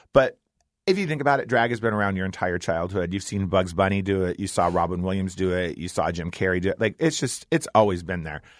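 Against a quiet background, a man talks at a very fast pace with a very deep, low pitch and ordinary pitch variation. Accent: American. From US Midwest, Ohio. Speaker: drag performer. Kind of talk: interview. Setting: studio.

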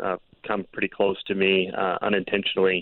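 A man talks at a moderate pace. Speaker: photographer and storm chaser. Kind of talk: casual interview. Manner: casual, conversational.

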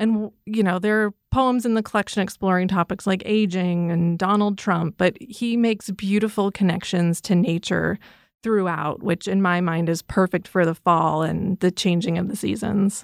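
On a very clean recording with a silent background, a woman speaks in an unremarkable speaking voice at medium pitch and a moderate pace, with fairly even intonation and hardly any pauses, the sound dry and close with no echo. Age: 40s. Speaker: librarian. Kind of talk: book recommendations chat.

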